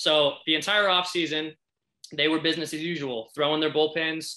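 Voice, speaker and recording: In a very clean recording with a silent background, a speaker with an American accent talks at a moderate pace in a bright, sharp tone with ordinary pitch variation. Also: man. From Indiana. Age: 20s. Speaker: baseball industry professional. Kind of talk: casual interview chat.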